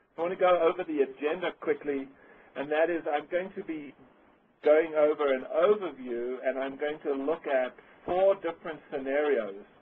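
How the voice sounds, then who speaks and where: A man in a South African accent talks at a moderate pace with a fairly high pitch and ordinary pitch variation. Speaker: webinar presenter. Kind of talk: webinar presentation. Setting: online webcast.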